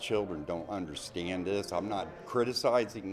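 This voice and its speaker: Very slowly, a man talks at a fairly low pitch with ordinary pitch variation. Room echo is audible, and background noise is noticeable. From US Midwest, Ohio. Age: 60s. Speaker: documentary interviewee. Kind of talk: interview testimony. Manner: halting, many restarts.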